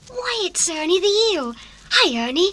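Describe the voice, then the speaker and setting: A female-sounding, put-on character voice speaks in an extremely high pitch. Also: moderate pace. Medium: audio drama. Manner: eager, excitable.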